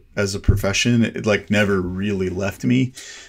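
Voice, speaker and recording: This man has an unremarkable speaking voice, pitched fairly low, with an American accent. His pitch varies in an ordinary way. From South Texas. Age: 40s. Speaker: cinematographer. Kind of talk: casual interview chat. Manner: relaxed, laid-back.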